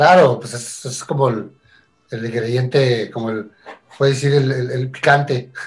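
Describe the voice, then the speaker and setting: Here is a man with a plain, everyday voice at medium pitch. He goes at a fairly slow pace with fairly even intonation. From Tijuana, Mexico. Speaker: musician. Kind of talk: casual chat.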